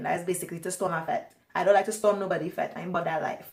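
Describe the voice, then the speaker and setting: A woman with a Trinidadian accent speaks at a very fast pace with ordinary pitch variation over noticeable background noise. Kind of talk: casual talk to camera. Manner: chatty, long-winded.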